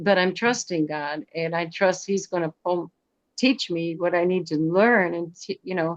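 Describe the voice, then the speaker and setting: A woman's fairly low voice moves fairly slowly, its pitch varying in an ordinary way. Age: 60s. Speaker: Zoom leadership group participant. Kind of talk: testimony. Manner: halting.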